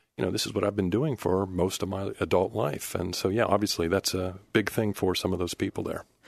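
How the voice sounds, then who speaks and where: With an American accent, a man talks at a fairly quick pace with hardly any pauses. His pitch is very deep and low, and his intonation fairly even. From Pittsburgh, Pennsylvania. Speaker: radio news reporter. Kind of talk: casual chat. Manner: hesitant, filler-heavy.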